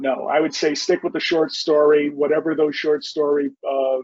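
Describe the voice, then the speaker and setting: A man with a Bronx accent, fairly high in pitch, at a moderate pace. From New York City, the Bronx. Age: 50s. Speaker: novelist. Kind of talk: interview.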